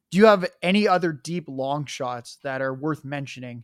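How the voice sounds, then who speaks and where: A man speaks in a plain, everyday voice, keeping a moderate pace and ordinary pitch variation. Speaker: podcast host. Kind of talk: casual podcast chat.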